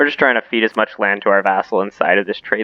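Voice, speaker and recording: Delivery from this man is very fast. Behind him, music is playing. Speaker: video game let's play host. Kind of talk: gameplay commentary. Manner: casual, with hesitations and repeated words.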